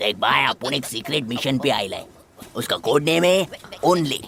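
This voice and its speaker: A put-on character voice at low-to-middle pitch moves at a moderate pace. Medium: fan dub. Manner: excitable, exclamatory, keeps saying 'arre baba'.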